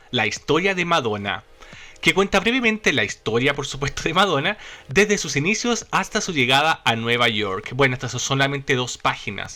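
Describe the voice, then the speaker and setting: With music in the background, a man speaks in an animated tone at a moderate pace, his fairly high voice moving through very wide pitch swings. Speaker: YouTube channel host about a pop star. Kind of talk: podcast-style presentation with slides.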